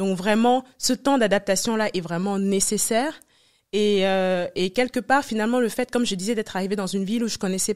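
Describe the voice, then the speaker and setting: A woman at medium pitch, fairly quick and fairly even in intonation, in a very clean recording with a silent background and a dry, close sound with no echo. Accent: West African. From Senegal (Dakar), Cameroonian family. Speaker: entrepreneur, former consultant. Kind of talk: interview.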